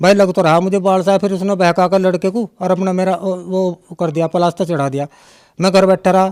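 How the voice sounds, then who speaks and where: A man's voice with a dry, close sound and no echo. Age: 60s. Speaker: devotee giving testimony. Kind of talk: testimony. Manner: halting, with many fillers.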